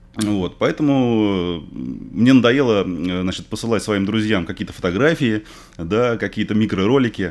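Lively intonation marks this man's fairly low-pitched voice as he speaks at a fairly slow pace. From Russia, Moscow; Russia. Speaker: fishing video blogger; interview guest. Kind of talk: casual interview. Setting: radio studio. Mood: relaxed, enthusiastic about fishing. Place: studio. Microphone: studio mic.

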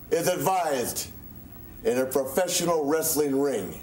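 At a very slow pace, a man speaks at a fairly high pitch, with audible room echo and light background noise. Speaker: professional wrestler. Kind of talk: wrestling promo interview. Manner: taunting, boastful. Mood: boastful, taunting. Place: studio.

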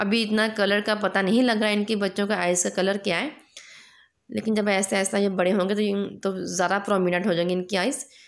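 A woman speaks at a medium pitch and a moderate pace. Her intonation is monotone and flat, and her loudness stays very even. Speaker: vlogger. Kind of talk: casual vlog narration.

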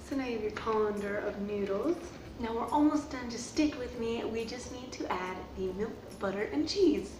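The speaker shows ordinary pitch variation over clear background noise. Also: woman.

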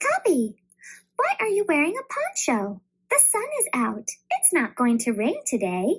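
A put-on character voice pitched extremely high. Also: moderate pace.

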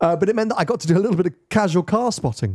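A man talks at a very fast pace with a dark, mellow tone. The background is quiet. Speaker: podcast host. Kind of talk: casual podcast chat. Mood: jokey, laughing. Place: studio. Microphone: studio mic.

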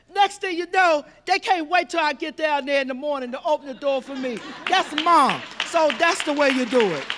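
A woman talks with a high pitch. Crowd noise fills the background. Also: moderate pace. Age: 60s. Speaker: audience member. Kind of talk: audience question. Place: hall. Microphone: handheld.

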